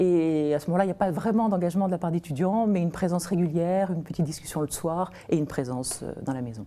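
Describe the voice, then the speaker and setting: Very fast and with hardly any pauses, a woman speaks with a fairly low pitch and a dark, mellow tone. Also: ordinary pitch variation. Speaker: nonprofit founder. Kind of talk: TV interview. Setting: TV studio.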